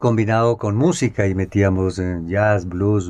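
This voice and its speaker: A man talks at a fairly slow pace in a very deep, low voice with a dark, mellow tone. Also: quiet background. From Colombia, Tunja (Boyacá). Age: 60s. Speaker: journalist and photographer. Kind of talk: interview, autobiographical recollection. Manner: halting, with frequent fillers.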